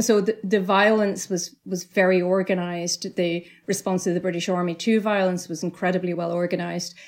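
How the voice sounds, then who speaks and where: A woman's medium-pitched voice with a Northern Irish accent, flat and monotone, at a fairly quick pace with hardly any pauses. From Northern Ireland, County Tyrone. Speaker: novelist. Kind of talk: interview. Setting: remote call.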